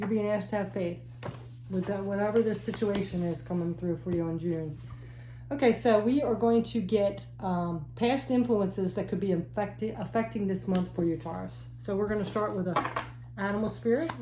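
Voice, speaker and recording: A woman talks at a moderate pace, with noticeable background noise and audible room echo. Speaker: tarot reader. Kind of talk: tarot reading. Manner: halting, self-correcting.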